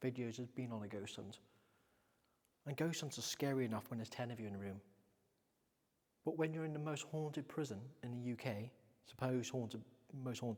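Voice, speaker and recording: A man speaks at a medium pitch, leaving long, frequent pauses. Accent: English. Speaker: paranormal investigator. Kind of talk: vlog ghost hunt narration. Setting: overnight ghost hunt in a prison.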